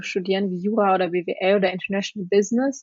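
Speaking at a moderate pace, a woman has an unremarkable speaking voice at medium pitch with fairly even intonation. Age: 20s. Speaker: law student, former exchange student. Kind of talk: casual interview.

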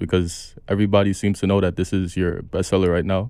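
In a New York accent, a man speaks with a very deep, low pitch and fairly even intonation. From New York City (Brooklyn). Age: 20s. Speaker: podcast host. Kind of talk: casual chat. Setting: studio.

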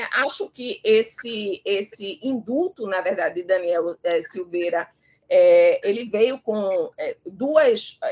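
Very slow in pace, a woman speaks at a fairly high pitch with lively intonation. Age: 50s. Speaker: law professor. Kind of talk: live radio discussion. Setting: live radio broadcast. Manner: halting, many fillers.

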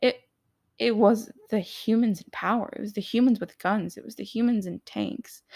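A woman talks at a moderate pace in a fairly high pitch with vocal fry. Her loudness swings widely. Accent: American. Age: 20s. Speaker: podcaster sharing personal story. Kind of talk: personal testimony monologue. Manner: hesitant, many fillers.

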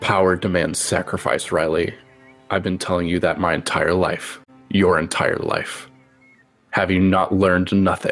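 A man speaks in a put-on character voice at a very deep, low pitch. Faint music plays in the background. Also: moderate pace. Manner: cold, menacing, stern.

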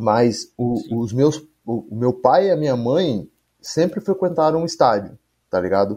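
Against a quiet background, a man speaks at a fairly slow pace. His medium pitch makes very wide swings. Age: 20s. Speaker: MMA fighter and activist. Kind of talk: casual chat.

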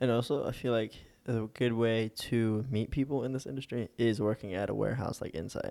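A man talks at a fairly quick pace with a dark, mellow tone. His intonation stays fairly even. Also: medium pitch for a man. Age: young. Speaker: film lighting crew worker. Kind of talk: casual chat.

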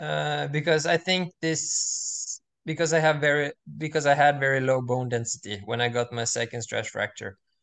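A man with a Norwegian accent at a fairly high pitch, fairly slow pace and ordinary pitch variation, against a quiet background. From Norway. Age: 20s. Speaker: student and semi-pro distance runner. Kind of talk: casual interview chat. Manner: halting, many fillers.

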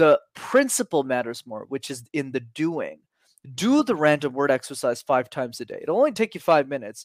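With a Canadian accent, a man talks fairly quickly in an unremarkable speaking voice pitched fairly high. His intonation is lively and his loudness swings widely. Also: dry, close sound with no echo, very clean recording, silent background. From Canada. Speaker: public speaking coach. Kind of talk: casual interview.

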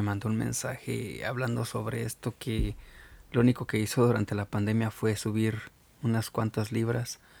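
Delivered at a moderate speed, the voice keeps its intonation fairly even. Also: man. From Mexico. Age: 30s. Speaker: podcast host. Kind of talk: solo podcast monologue. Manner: halting, with fillers and repetitions.

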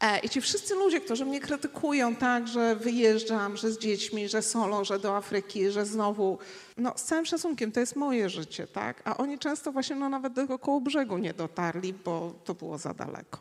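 At a moderate pace and with hardly any pauses, a woman speaks in a fairly high pitch, her tone animated and her intonation lively. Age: 50s. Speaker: traveller and speaker. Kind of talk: panel discussion on stage. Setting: stage with audience.

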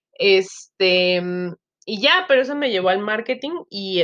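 A woman speaks at medium pitch. Her intonation is lively. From Mexico, Chiapas. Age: 30s. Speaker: podcaster, social media marketer. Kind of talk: casual solo monologue, self-introduction. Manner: many filler words (este, eh), hesitant.

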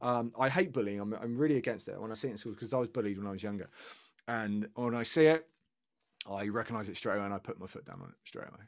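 A man with a British accent speaks at a very fast pace in a medium pitch, with ordinary pitch variation and big swings in loudness, in a very clean recording with a silent background. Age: 30s. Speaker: rock guitarist. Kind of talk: casual chat.

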